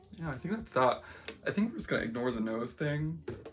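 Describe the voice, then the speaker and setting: A woman's very fast speech, with very wide pitch swings, against noticeable background noise. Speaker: makeup vlogger. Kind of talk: casual makeup vlog. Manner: rambling, conversational with many fillers.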